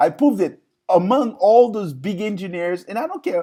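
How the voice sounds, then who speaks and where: Speaking at a moderate pace in an animated tone, a man talks with a slight non-native accent. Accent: slight foreign accent, improved. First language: not English (English is fourth language). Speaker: online talk show host. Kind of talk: live stream monologue. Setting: live stream. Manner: animated, repetitive fillers.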